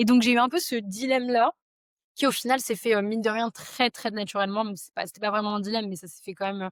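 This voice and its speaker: Over a silent background in a very clean recording, a woman talks at a very fast pace with a fairly high pitch. Her pitch variation is ordinary while her loudness swings widely. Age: 20s. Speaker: SEO agency founder. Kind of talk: casual interview chat. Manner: hesitant, many fillers.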